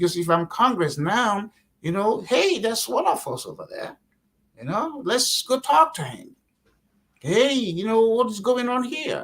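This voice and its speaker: A man's extremely high voice with a Nigerian accent, very wide pitch swings, big swings in loudness and a fairly slow pace. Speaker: political candidate. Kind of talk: interview. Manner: animated; repetitive false starts.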